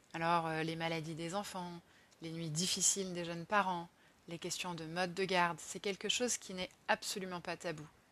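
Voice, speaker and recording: Against a quiet background, a woman with a fairly low pitch and a bright, sharp tone speaks at a moderate pace in a monotone, flat intonation. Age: 30s. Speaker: podcaster on career change and social economy. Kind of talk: personal monologue podcast.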